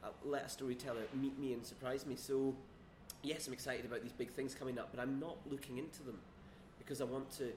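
In a room with audible echo, a man talks very fast at medium pitch, somewhat breathy, with monotone, flat intonation. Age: 30s. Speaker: screenwriter. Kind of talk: casual chat. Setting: quiet bar.

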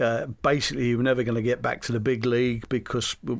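A man in a London accent speaks at a fairly quick pace with monotone, flat intonation. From London, England. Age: 70s. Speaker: retired footballer. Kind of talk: interview.

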